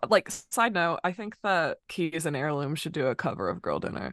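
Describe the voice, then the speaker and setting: With an American accent and an ordinary speaking voice, a woman speaks at a moderate pace and fairly low pitch with lively intonation, dry and close with no echo over a quiet background. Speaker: singer and artist. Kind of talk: casual chat.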